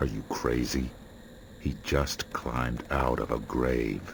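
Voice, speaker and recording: Over clear background noise, a man uses a put-on character voice, very deep and low, at a fairly slow pace. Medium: video game. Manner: curt, laconic.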